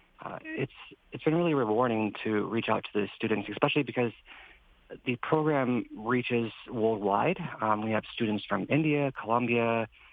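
An unremarkable speaking voice. It moves at a moderate pace with ordinary pitch variation. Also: man, medium pitch for a man. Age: 30s. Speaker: NASA intern. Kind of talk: casual interview. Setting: video call.

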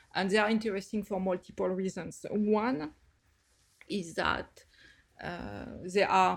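Someone speaks with a French accent at a moderate pace. The recording is very clean, with a silent background. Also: woman. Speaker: planetary scientist. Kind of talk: interview.

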